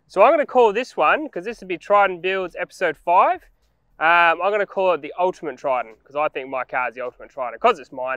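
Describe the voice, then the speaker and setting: A man speaks fairly quickly in a high, bright, sharp voice. The sound is dry with no echo, and the background is quiet. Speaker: vehicle vlogger. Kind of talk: casual vlog chat. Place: forest.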